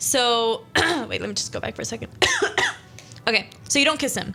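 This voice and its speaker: Over background music, a woman with a high pitch speaks at a very fast pace. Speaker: radio show host. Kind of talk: casual radio talk, interactive story reading.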